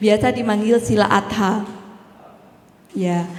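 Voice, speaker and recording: Fairly slow, fairly even speech from a woman, with audible room echo. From East Java, Banyuwangi. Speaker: Buddhist nun and Dhamma speaker. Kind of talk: Dhamma talk. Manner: casual, friendly with hesitations.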